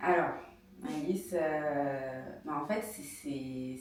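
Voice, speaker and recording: A woman's very deep, low voice with ordinary pitch variation, audible room echo and noticeable background noise. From France, of Malian descent. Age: 40s. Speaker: entrepreneur, pharmacist. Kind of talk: interview. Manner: hesitant, many fillers.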